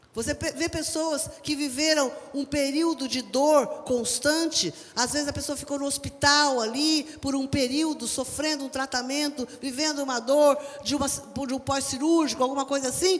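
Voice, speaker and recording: A woman's high-pitched voice at a moderate pace. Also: fairly even intonation. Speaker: preacher. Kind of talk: sermon delivered live to a church congregation.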